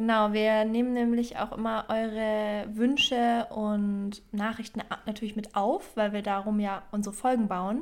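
In an ordinary speaking voice, a woman talks at a fairly high pitch with fairly even intonation. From Bavaria, Germany. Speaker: podcast co-host. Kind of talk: casual chat; reading aloud.

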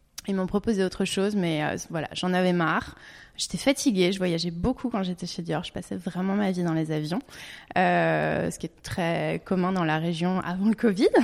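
Against a silent background on a very clean recording, a woman with an unremarkable speaking voice talks at a moderate pace in a fairly low pitch with ordinary pitch variation. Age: 30s. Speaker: naturopathy consultant. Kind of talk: interview.

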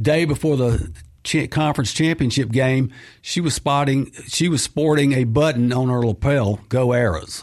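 A man speaks in a Mississippi accent at medium pitch and a fairly slow pace, with ordinary pitch variation. The recording is very clean, with a silent background. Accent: Southern US (Mississippi). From Mississippi (Clinton). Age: 60s. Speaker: author and freelance sportswriter. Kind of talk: radio interview. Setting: studio.

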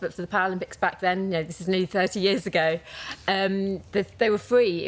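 A woman with an unremarkable speaking voice talks fairly quickly at medium pitch, keeping her intonation fairly even. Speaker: para athlete and sports administrator. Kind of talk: casual chat. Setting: live in-person recording at sports venue.

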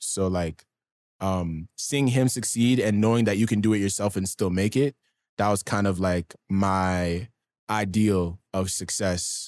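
A man with an unremarkable speaking voice talks at a fairly low pitch with fairly even intonation. The recording is very clean with a silent background and a dry, close sound with no echo. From Canada, Ottawa (East End). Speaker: rapper. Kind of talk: interview.

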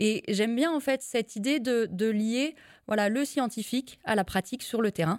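A woman with fairly high pitch and ordinary pitch variation speaks at a moderate pace and very even loudness, the sound dry and close with no echo on a very clean recording with a silent background. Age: 30s. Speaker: livestock farming consultant. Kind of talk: interview. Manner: hesitant fillers.

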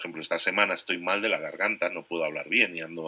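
Very deep and low in pitch yet bright and sharp in tone, a man's voice shows ordinary pitch variation. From Spain. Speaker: entrepreneur and podcaster. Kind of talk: interview.

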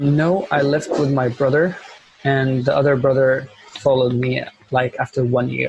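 With an Arabic accent, a man speaks at a medium pitch and a moderate pace, with fairly even intonation and very even loudness. Noticeable background noise sits behind him. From Syria. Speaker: refugee and communications officer. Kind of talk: casual interview.

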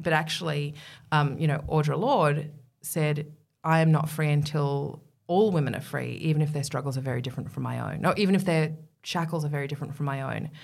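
A woman with an Australian accent speaks at a fairly quick pace in a very deep, low voice with vocal fry. Her intonation is fairly even, and the room echo is audible. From Middle East, England and Australia. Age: 40s. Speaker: feminist writer and broadcaster. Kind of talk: interview conversation. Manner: talkative.

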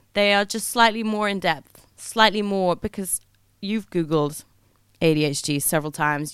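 A woman's sing-song voice in an English accent at a moderate pace, on a very clean recording with a silent background. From England. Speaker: podcast host. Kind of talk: monologue. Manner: sing-songy; animated.

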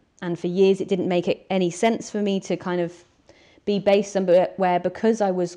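A woman with a Welsh accent talks at a moderate pace, her pitch medium. Her tone is dark and mellow, and her intonation is monotone and flat. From Wales (mid Wales). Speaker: wilderness guide. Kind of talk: interview.

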